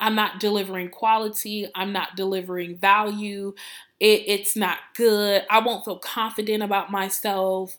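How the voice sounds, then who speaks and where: A woman speaks at a moderate pace with medium pitch. The recording is very clean, with a silent background. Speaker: marketing consultant and podcast host. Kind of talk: solo podcast monologue. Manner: animated.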